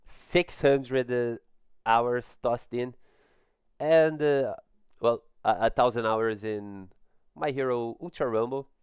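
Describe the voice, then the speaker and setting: Over a silent background in a very clean recording, a man with a non-native accent speaks at a medium pitch and a fairly slow pace. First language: not English. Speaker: gaming YouTuber. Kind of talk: video game trailer breakdown. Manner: halting, many fillers.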